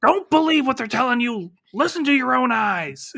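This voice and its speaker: A man does a put-on character voice with lively intonation and an extremely high pitch. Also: moderate pace. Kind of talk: podcast ranting. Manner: urgent, conspiratorial, overdramatic.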